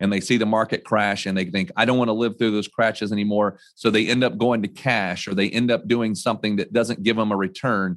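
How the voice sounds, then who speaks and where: An ordinary speaking voice from a man with an American accent, fairly low in pitch, moving at a fairly quick pace with very even loudness. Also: fairly even intonation. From North Carolina. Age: 40s. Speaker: financial advisor. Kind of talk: interview. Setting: office.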